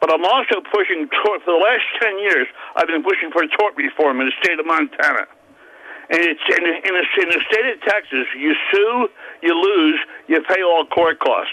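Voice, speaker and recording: With ordinary pitch variation and a moderate pace, the speech comes through noticeable background noise. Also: man. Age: 70s. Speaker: caller. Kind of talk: radio call-in. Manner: halting, stammering.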